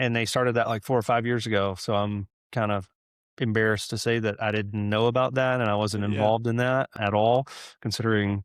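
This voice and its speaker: With a Southern US accent, a man speaks at a fairly quick pace and medium pitch, his loudness very even throughout. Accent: Southern American. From Georgia, USA. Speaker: restaurant group CEO. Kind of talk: interview answer. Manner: casual, enthusiastic.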